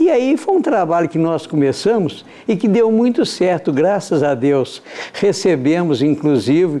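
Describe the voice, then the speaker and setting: Over noticeable background noise, a man with a high pitch talks at a fairly slow pace with lively intonation. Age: 70s. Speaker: amateur theatre actor. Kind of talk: interview.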